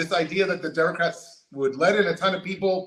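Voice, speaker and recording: A man with an American accent speaks at a very fast pace in a raised, projected voice with a high pitch. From California. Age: 50s. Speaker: political candidate. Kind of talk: interview.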